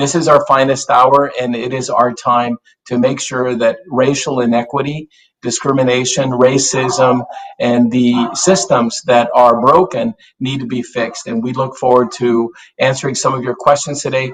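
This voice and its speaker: A man with a plain, everyday voice talks at a moderate pace in a medium pitch, his intonation fairly even. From South Texas, US-Mexico border. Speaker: business association executive. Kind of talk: panel remarks. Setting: virtual town hall.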